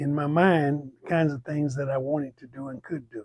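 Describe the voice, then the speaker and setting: Somewhat breathy and fairly even in intonation, a man with an American accent talks at a fairly high pitch and a moderate pace. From Texas. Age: 80s+. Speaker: community elder. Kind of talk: oral history interview. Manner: halting.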